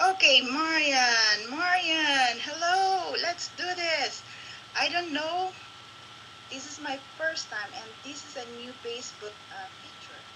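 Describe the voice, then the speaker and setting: A woman in a raised, projected voice speaks at a very slow pace with a high pitch and lively intonation, amid audible room echo and noticeable background noise. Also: big swings in loudness. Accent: Filipino. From Philippines. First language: Filipino. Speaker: local business promoter. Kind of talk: live-stream chat. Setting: Facebook live video. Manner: halting.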